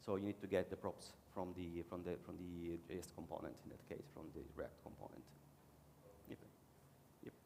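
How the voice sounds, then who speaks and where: Long, frequent pauses break up a man's moderate pace. His very deep, low pitch carries a dark, mellow tone and fairly even intonation. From Italy. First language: Italian. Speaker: conference speaker, web developer. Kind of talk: conference talk and Q&A. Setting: conference stage with audience.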